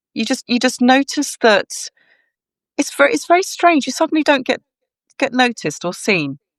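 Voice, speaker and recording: A woman speaks at a high pitch and a fairly quick pace. The sound is dry and close with no echo, over a quiet background. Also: long, frequent pauses. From Wales. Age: 60s. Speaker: model and rock singer. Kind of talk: interview.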